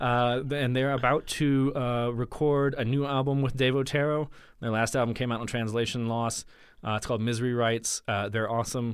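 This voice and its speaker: A man with an American accent at a medium pitch, a monotone, flat intonation, very even loudness and a fairly quick pace. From US South, Mississippi. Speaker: musician. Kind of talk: casual chat. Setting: studio.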